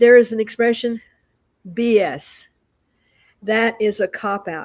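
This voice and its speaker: A woman's fairly high voice, very slow, with ordinary pitch variation. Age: 80s+. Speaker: spiritual talk show co-host. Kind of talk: casual chat. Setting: live stream.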